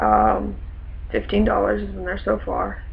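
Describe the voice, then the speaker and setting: A man is talking amid noticeable background noise. Audible room echo surrounds his voice. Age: 20s. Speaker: vlogger. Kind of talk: personal vlog monologue. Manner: hesitant, many fillers.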